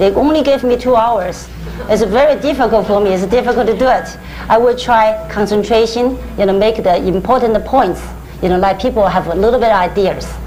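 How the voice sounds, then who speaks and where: A woman with a Chinese accent speaks at fairly high pitch, with ordinary pitch variation and very even loudness. Audible room echo and noticeable background noise fill the recording. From China, Hubei. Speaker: Chinese medicine practitioner. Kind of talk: lecture. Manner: halting.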